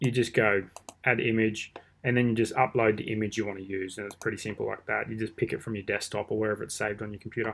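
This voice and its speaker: A man's fairly low voice, flat and monotone, at a very fast pace over light background noise. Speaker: online marketing teacher; online marketing tutor. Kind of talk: screen-recorded tutorial. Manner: casual. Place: home room. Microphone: webcam.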